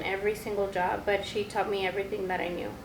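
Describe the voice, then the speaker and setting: A woman with a Spanish accent talks at a fairly quick pace amid noticeable background noise and audible room echo. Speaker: podcast co-host, store manager. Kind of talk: casual chat.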